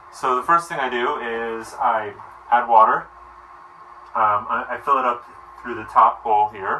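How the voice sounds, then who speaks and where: Medium-pitched male voice at a moderate pace, fairly even in intonation, with big swings in loudness, long, frequent pauses and noticeable background noise. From New Jersey. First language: Romanian. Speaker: cooking vlogger. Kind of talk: casual tutorial. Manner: casual, conversational.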